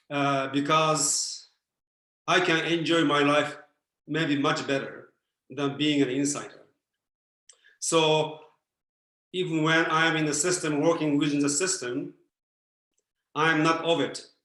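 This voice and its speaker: A man's bright, sharp tone in a monotone, flat intonation, fairly slow with long, frequent pauses, in audible room echo. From Japan. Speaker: philosopher and former Zen Buddhist priest. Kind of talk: Q&A answer on a video talk. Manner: hesitant with many fillers.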